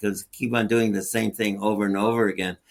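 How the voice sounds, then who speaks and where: Flat and monotone in intonation, a man's voice sits at a fairly low pitch. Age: 80s+. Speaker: hyperbaric physician and surgeon. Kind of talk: interview.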